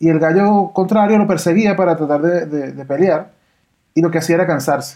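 Against a quiet background, a man with a high pitch speaks at a fairly quick pace with fairly even intonation. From Venezuela. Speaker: podcast host, voice actor. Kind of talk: casual chat.

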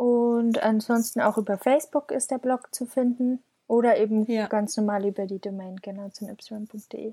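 Her dark, mellow, somewhat breathy voice sits at a fairly high pitch for a woman, with fairly even intonation and hardly any pauses, in a dry, close sound with no echo. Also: moderate pace. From Bavaria, village south of Munich. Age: 20s. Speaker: freelance copywriter and blogger. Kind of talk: interview.

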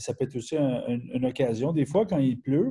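Somewhat breathy and dark, mellow in tone, a man rushes along at a very fast pace. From Quebec. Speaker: webinar host, personal development. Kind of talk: webinar interview. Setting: online webinar.

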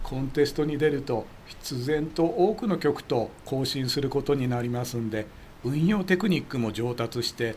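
This man has a normal speaking voice, pitched fairly high, and talks at a moderate pace with lively intonation. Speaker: amateur radio expert commentator. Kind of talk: explanatory casual chat.

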